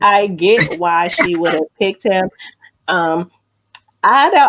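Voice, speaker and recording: A woman with an ordinary speaking voice, fairly low in pitch, at a fairly slow pace with ordinary pitch variation. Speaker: radio show host. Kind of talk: radio show banter, co-host chat.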